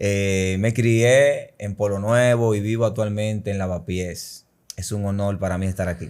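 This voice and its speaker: In a Dominican accent, a man speaks at a fairly slow pace with a fairly low pitch and fairly even intonation. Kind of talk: testimony.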